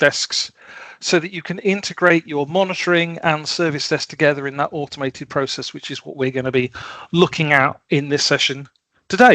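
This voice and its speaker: Dry with no echo over a quiet background, a man's bright, sharp voice moves at a fairly quick pace with ordinary pitch variation. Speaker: automation software consultant; presenter. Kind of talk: technical presentation. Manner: halting, many fillers (um, uh). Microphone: headset.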